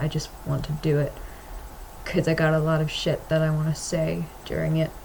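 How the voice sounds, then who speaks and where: Over noticeable background noise, a woman with an American accent speaks in a very deep, low voice. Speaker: vlogger and comic artist. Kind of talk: casual vlog monologue. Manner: halting, hesitant with many fillers.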